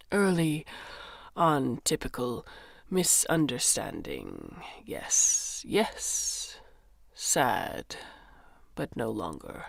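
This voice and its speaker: A put-on character voice whispers, wheezy, at a very slow pace. Long pauses come often. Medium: read story. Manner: clipped broken phrases with "yes" tags.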